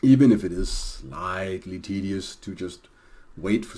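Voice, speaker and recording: A man's very deep, low voice, dark and mellow in tone, with a Danish accent. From Denmark. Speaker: video game streamer. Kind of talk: gameplay commentary. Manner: hesitant, many fillers.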